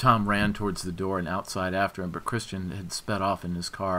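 What we hear is a natural reading voice.

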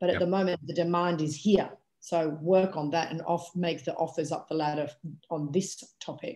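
At a moderate pace, the talking unfolds with a quiet background behind it. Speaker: workshop participant. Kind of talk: casual group discussion. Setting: video call. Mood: reflective, conversational. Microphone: video call.

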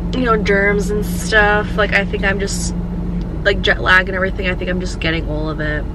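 A woman speaks at a moderate pace. There is loud background noise. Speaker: vlogger. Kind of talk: casual vlog chat. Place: car. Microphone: phone near.

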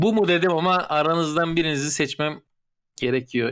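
In a very clean recording with a silent background, a man with a normal speaking voice talks at a moderate pace and a fairly high pitch, with ordinary pitch variation. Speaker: gamer friend. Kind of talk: casual chat, party game.

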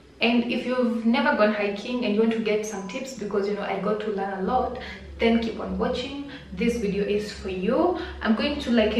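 A woman's fairly even intonation, with light background noise and audible room echo. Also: moderate pace. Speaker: vlogger. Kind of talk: casual vlog chat. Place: home room. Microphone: phone near.

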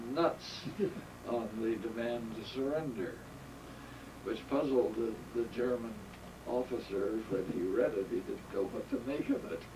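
A man speaks at a fairly slow pace with ordinary pitch variation, and noticeable background noise can be heard. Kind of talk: interview answer, reminiscence. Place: home room. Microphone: camera far.

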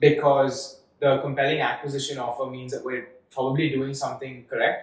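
Room echo is audible around a somewhat breathy man speaking at a moderate pace. His intonation is monotone and flat. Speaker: startup founder; guest. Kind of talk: interview. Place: studio.

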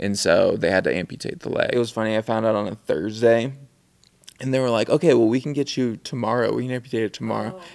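A man speaks with vocal fry. His pitch varies in an ordinary way. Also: quiet background. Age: 30s. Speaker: filmmaker and photographer; interview guest. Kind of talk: casual chat. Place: studio. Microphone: studio mic.

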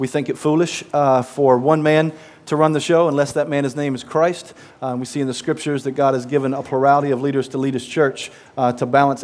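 Speaking at a fairly quick pace, a man delivers his words. His intonation is monotone and flat. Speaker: pastor preaching. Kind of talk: sermon. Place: church. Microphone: headset.

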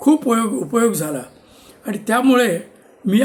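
The man talks with lively intonation. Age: 70s. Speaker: retired civil engineer. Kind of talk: personal storytelling monologue.

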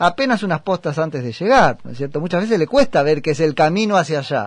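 A man with a Rioplatense accent and very wide pitch swings. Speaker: radio host. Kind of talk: radio interview. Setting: studio.

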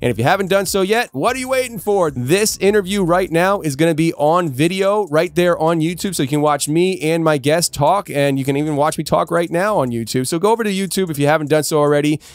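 A man talks at a very fast pace with a high pitch and ordinary pitch variation. The sound is dry, with no echo. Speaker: podcast host. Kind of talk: podcast host announcements. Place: studio. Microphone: studio mic.

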